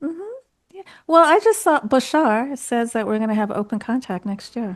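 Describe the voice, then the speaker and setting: Over music in the background, a woman with a fairly high pitch and lively intonation talks with big swings in loudness. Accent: American. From Turkey. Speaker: UFO experiencer advocate and author. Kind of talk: Q&A discussion.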